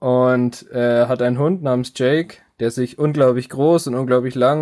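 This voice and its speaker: A fairly slow pace and a monotone, flat intonation. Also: man. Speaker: podcast host. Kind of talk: casual chat.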